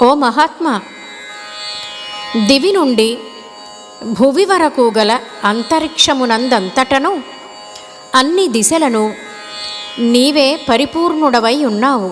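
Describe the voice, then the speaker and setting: Music plays in the background as a woman speaks at a high pitch. Her intonation is lively and her loudness very even. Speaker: classical singer. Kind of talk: scripture narration.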